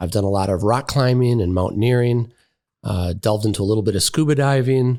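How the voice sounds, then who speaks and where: A man talks at a very fast pace with a Wisconsin accent, his pitch medium and its variation ordinary. The recording is very clean, with a silent background. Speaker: podiatrist and college dean. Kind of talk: casual interview.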